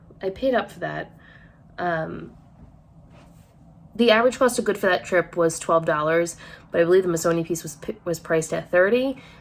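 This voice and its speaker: An American accent comes through. Intonation rises and falls in a lively way. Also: woman. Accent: Rhode Island accent, comes out at times. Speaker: online clothing reseller and vlogger. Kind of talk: casual haul vlog talk to camera. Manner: chatty, with many fillers.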